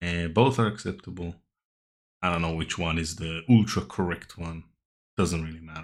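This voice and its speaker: The speaker mumbles at a moderate pace with ordinary pitch variation and long, frequent pauses. Loudness swings widely in a very clean recording with a silent background. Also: man, very deep, low pitch for a man. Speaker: language teacher YouTuber. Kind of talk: vocabulary tutorial. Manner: mumbling.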